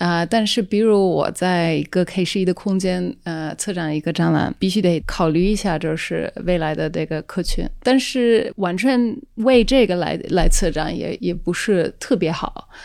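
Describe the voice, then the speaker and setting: The recording is very clean, with a silent background. The speech comes at a fairly slow pace with ordinary pitch variation and hardly any pauses. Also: woman, fairly low pitch for a woman. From Netherlands. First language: Dutch (speaking Chinese). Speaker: independent curator. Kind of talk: casual chat. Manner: halting, many fillers.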